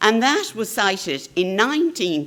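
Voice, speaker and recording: Noticeable background noise sits behind a woman speaking with an Irish accent. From Ireland. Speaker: carer advocate. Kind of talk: conference talk. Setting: conference stage with audience.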